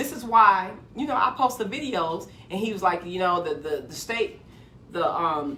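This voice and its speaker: A woman at a medium pitch speaks at a moderate pace in an animated tone, her pitch swinging very widely. Noticeable background noise and audible room echo fill the recording. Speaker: motivational video host. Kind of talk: motivational monologue.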